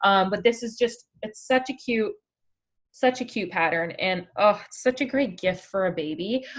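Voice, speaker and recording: With a Canadian accent and a plain, everyday voice, a woman speaks at a moderate pace and fairly high pitch, her intonation lively and her loudness swinging widely. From Canada. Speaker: online craft community founder. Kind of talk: live stream chat. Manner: casual, with many fillers.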